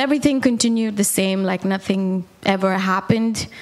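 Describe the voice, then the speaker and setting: A woman with an Indian accent, medium pitch and ordinary pitch variation, at a fairly slow pace over noticeable background noise. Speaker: worship singer giving testimony, mother. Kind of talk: testimony. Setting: church.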